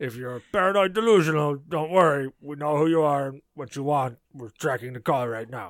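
Doing a put-on character voice, a man speaks fairly high at a moderate pace, with hardly any pauses. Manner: mock-serious phone message.

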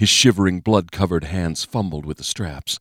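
At a moderate pace and with ordinary pitch variation, the voice comes through dry and close with no echo in a very clean recording over a silent background. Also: man. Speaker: audiobook narrator. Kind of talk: dramatic audiobook narration, scripted reading of a thriller. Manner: tense, gripping, urgent pacing with vivid, suspenseful delivery; grim, measured, building dread in action scenes.

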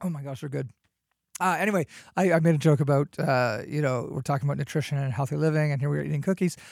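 The speech goes at a very fast pace. The recording is very clean, with a silent background. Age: 40s. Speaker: podcast host. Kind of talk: casual chat. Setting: studio.

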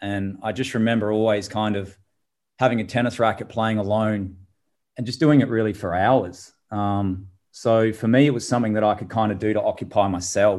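Here a man talks at a moderate pace with a fairly low pitch and fairly even intonation. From Adelaide, South Australia. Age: 30s. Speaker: former tennis player and tennis coach. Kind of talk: interview. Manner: halting.

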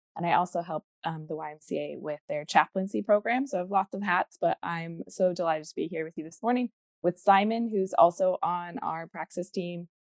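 This woman has an ordinary speaking voice, fairly low in pitch, moving at a moderate pace with ordinary pitch variation and big swings in loudness. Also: dry, close sound with no echo. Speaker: webinar host. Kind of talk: casual chat. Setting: video call.

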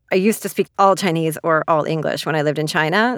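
A woman with a Canadian accent speaks in a normal speaking voice at a fairly low pitch, the sound dry and close with no echo. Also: very clean recording, silent background. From Canada. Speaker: author. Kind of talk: interview monologue.

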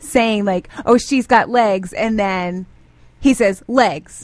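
With a plain, everyday voice, a woman speaks at a fairly high pitch and a fairly slow pace, with ordinary pitch variation. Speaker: radio co-host. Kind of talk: morning radio show banter. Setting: studio.

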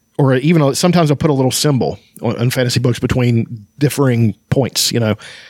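Here a man has a plain, everyday voice at a medium pitch, speaking at a fairly quick pace with ordinary pitch variation, very even loudness and a dry, close sound with no echo. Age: 40s. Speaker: book podcast host. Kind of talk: casual book discussion with read-aloud passages.

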